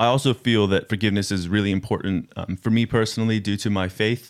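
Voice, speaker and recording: In a very clean recording with a silent background, a man with an American accent and a plain, everyday voice speaks at a fairly low pitch, a fairly quick pace and with fairly even intonation. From United States. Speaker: youth worker. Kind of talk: casual interview. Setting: studio.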